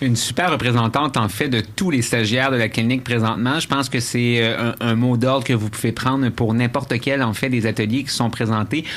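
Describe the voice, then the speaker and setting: Hardly pausing at all, a man talks with very even loudness, a medium pitch and fairly even intonation. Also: fairly quick pace. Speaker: radio host. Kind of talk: radio show chat. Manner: fast.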